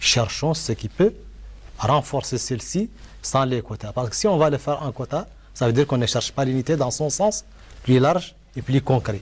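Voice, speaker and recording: Somewhat breathy, a man talks at a moderate pace with ordinary pitch variation and long, frequent pauses. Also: medium pitch for a man. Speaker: panel debater. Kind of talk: televised debate.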